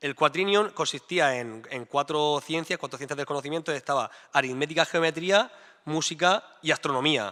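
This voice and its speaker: This man has an unremarkable speaking voice, pitched fairly high. He moves at a moderate pace with ordinary pitch variation. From Murcia, Spain. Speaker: mathematician. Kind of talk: staged debate.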